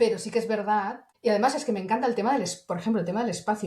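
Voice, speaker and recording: A woman's voice with noticeable background noise. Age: 60s. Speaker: internal communications professional. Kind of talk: interview. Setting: podcast.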